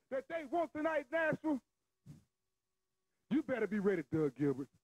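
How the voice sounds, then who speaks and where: His pitch swings very widely. The man's voice sounds dry, with no echo. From Southern US. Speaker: professional wrestler. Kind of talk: wrestling promo. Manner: boastful, taunting. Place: studio. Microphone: handheld.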